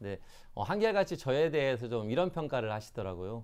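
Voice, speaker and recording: A man of medium pitch with very wide pitch swings, at a fairly quick pace. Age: 40s. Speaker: local politician, mayoral candidate. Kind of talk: interview. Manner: halting, many fillers.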